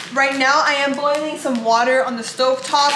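A woman with a high pitch talks at a fairly quick pace amid noticeable background noise. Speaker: food vlogger. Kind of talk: casual vlog chat. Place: kitchen. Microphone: phone near.

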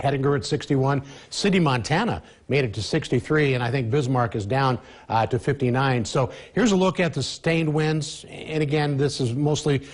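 A man speaks at a moderate pace in a somewhat breathy voice. The background stays quiet. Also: ordinary pitch variation. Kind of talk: weather forecast presentation. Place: studio. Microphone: lapel.

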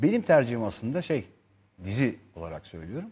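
Somewhat breathy, a man speaks at a moderate pace. His pitch swings very widely. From Turkey. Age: 40s. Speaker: actor; actor guest. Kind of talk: interview chat; interview answer. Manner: hesitant with many fillers. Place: studio. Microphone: lapel.

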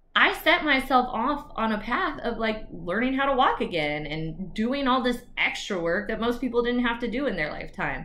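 A woman speaks with an American accent in an animated tone. Her pitch is fairly high and her pace is moderate. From Texas. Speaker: attorney and YouTuber. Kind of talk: personal story vlog. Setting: video recorded alone. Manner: casual, animated. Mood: earnest, emphatic, inspirational. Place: home room. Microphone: webcam.

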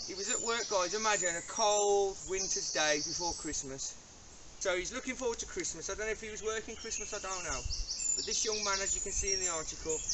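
Talking fairly quickly, a man is heard through loud background noise. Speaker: presenter. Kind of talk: casual vlog commentary. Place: forest.

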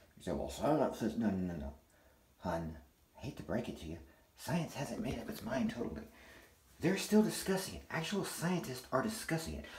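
A man talks at a fairly quick pace, with audible room echo and light background noise. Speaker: vlogger. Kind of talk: casual vlog rant. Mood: angry, defiant. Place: bathroom. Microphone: phone near.

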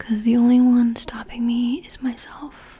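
A soft-spoken voice at a moderate pace. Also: woman. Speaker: ASMR creator. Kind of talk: ASMR ramble, personal attention. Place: home room. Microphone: studio mic.

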